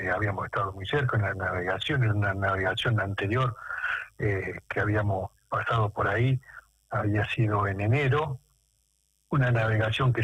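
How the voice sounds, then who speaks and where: Fairly slow and fairly even in intonation, a man talks at a fairly low pitch. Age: 60s. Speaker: war veteran. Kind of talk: radio interview. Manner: halting.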